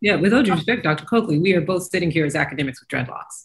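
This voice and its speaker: A woman with an American accent sounds somewhat breathy. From US South, Kentucky. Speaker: professor, panel guest. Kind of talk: panel discussion. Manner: animated.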